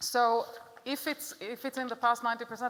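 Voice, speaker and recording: Speaking at a moderate pace with an Israeli accent, a woman keeps a fairly high pitch and fairly even intonation. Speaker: psychotherapist. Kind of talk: lecture.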